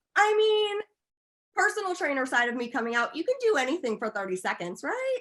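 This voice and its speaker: The voice is loud and fairly quick, with very wide pitch swings. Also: woman, high pitch for a woman. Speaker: esthetician and laser tech. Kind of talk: interview.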